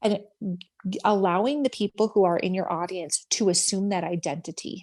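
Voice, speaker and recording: A woman with a Minnesota accent, in a dry, close sound with no echo. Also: medium pitch for a woman, ordinary pitch variation, moderate pace. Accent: Minnesota accent, strong O sounds. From Minnesota, US. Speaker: government educator and social media creator. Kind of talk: interview. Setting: podcast interview. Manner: filler-heavy, conversational.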